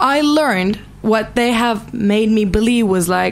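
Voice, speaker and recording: Speaking at a very slow pace, a woman with a Turkish accent uses a fairly high pitch and lively intonation. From Turkey. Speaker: actress and musician. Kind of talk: interview. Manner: halting.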